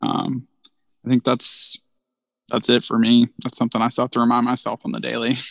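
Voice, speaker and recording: A man with an Alabama accent speaks with long, frequent pauses in a dry, close sound with no echo. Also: fairly quick pace. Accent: Southern US (Alabama). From North Alabama, US South. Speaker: small business program manager. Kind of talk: casual interview.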